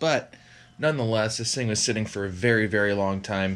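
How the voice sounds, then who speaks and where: A man talks at a moderate pace in a fairly low pitch with ordinary pitch variation. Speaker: hobby vlogger. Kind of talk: casual vlog chat. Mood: pleased, relaxed. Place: garage. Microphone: phone near.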